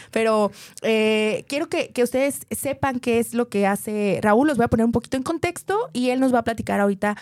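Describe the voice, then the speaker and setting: A woman talks at a fairly quick pace in a plain, everyday voice. Her loudness stays very even, her pitch varies in an ordinary way, and the sound is dry and close with no echo. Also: fairly high pitch for a woman. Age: 30s. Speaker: podcast host and business consultant. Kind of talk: interview.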